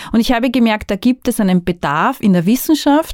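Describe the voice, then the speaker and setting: In an ordinary speaking voice, a woman talks at a moderate pace with lively intonation. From Austria, northern Burgenland. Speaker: migration researcher. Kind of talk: podcast monologue.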